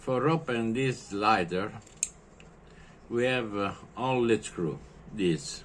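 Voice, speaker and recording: With an Italian accent, the speaker goes at a very slow pace with lively intonation and long, frequent pauses. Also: man, medium pitch for a man. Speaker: lighter repairer. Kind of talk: tutorial. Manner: halting.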